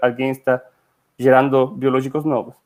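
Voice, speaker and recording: The speaker has a Spanish accent. The delivery moves at a moderate pace. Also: man. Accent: Spanish-accented Portuguese (portunhol). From Chile. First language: Spanish (speaking Portuguese). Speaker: company director, scientist. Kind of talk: webinar presentation. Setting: online webinar. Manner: hesitant, with fillers.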